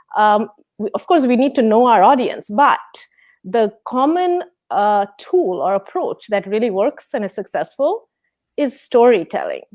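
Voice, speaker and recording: The speaker has a Bengali accent, a fairly slow pace and very wide pitch swings. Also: woman, high pitch for a woman. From India, West Bengal. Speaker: physics professor. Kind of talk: interview. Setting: video call.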